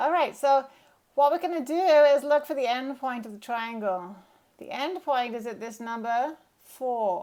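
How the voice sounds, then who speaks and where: On a very clean recording with a silent background, a woman speaks at a fairly slow pace. Her voice is high, with ordinary pitch variation. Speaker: drawing teacher. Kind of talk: tutorial. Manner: casual.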